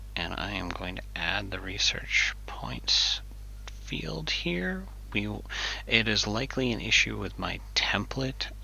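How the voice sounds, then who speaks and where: Audible room echo and noticeable background noise accompany a man talking at a very slow pace. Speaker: software developer streamer. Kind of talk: live coding tutorial. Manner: casual, hesitant with fillers.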